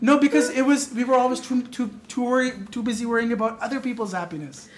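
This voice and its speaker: A man speaks at an extremely high pitch and a very fast pace, his loudness swinging widely. His pitch rises and falls in an ordinary way, over noticeable background noise. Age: 20s. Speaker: podcast guest. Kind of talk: casual chat.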